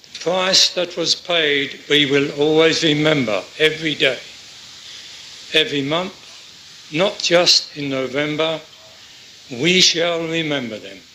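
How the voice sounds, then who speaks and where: A man with a fairly high pitch speaks at a fairly slow pace, leaving long, frequent pauses. His pitch varies in an ordinary way, and there is noticeable background noise. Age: 90s. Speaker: D-Day veteran and Royal Navy gunner. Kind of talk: interview answer.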